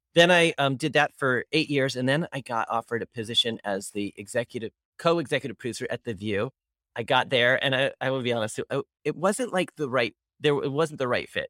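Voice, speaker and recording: With an American accent, a man speaks in an ordinary speaking voice at medium pitch and a fairly quick pace, with ordinary pitch variation and a dry, close sound with no echo. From Pennsylvania. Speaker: TV producer and host. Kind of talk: casual chat.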